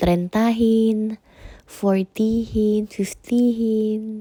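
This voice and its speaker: The woman's fairly high voice has a dark, mellow tone. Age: 30s. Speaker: vlogger. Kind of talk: casual vlog unboxing.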